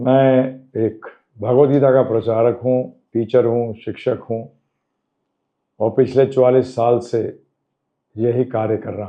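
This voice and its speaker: The speech has long, frequent pauses, big swings in loudness and a monotone, flat intonation. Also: man, medium pitch for a man. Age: 70s. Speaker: spiritual teacher. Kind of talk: interview answers.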